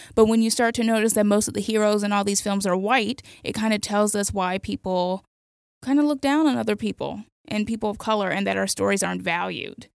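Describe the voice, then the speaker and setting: A woman talks in a plain, everyday voice at a fairly quick pace. Her medium pitch shows ordinary variation. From Miami, Florida. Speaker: freelance essayist and film critic. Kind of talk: casual chat. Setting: studio.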